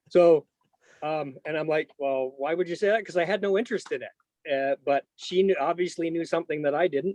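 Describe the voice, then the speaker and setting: A man's voice with ordinary pitch variation comes through with a dry, close sound and no echo. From southwestern Ontario, Canada. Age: 50s. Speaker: Gulf War veteran. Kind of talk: oral history interview. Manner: halting, many fillers.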